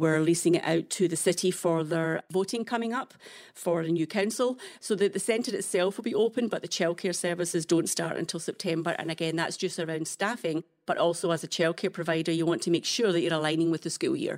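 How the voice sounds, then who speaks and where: With a Scottish accent, a woman speaks at a fairly quick pace, using a fairly low pitch and ordinary pitch variation. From Scotland. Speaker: nonprofit executive director. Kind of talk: casual interview.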